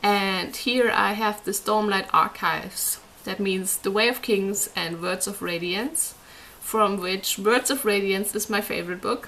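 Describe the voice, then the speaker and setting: A woman with a non-native accent at medium pitch, fairly slow and fairly even in intonation, over noticeable background noise. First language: not English. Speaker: book reviewer. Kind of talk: casual book review monologue.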